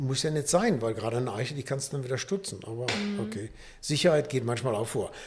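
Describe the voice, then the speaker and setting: Words come out at a very fast pace in a somewhat breathy voice. Pitch shifts in an ordinary way. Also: man, medium pitch for a man. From Rhineland, Düsseldorf. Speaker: nature conservation volunteer. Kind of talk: casual chat. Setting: studio. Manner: upbeat.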